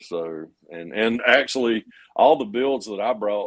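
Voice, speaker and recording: With a Georgia accent, a man talks in a fairly low voice. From US South, Georgia. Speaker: model car builder, livestream host. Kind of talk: casual chat. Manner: halting.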